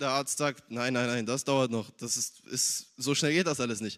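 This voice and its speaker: A normal speaking voice is heard at a moderate pace with ordinary pitch variation. The recording is very clean, with a silent background. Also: man. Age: young. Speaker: church youth member. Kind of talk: testimony.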